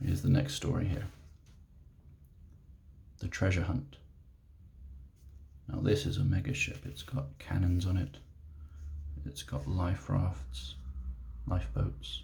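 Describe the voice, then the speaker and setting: A soft-spoken man with a British accent and a very deep, low, gentle voice, at a fairly slow pace with very wide pitch swings, long, frequent pauses and noticeable background noise. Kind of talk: ASMR reading aloud of a childhood picture book. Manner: soft-spoken, gentle.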